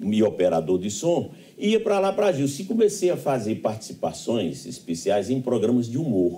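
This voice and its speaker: In a dark, mellow tone with vocal fry, a man moves at a moderate pace through very wide pitch swings. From Pombal, Paraíba backlands, Brazil. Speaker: radio broadcaster and professor. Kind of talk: interview answer.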